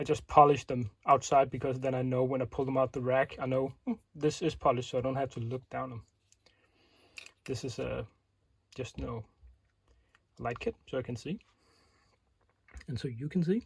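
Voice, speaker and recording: Somewhat breathy, a man with a medium pitch speaks at a moderate pace with fairly even intonation and long, frequent pauses. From Denmark. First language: Danish. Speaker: airsoft tech video maker. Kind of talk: tutorial. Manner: casual, with many fillers.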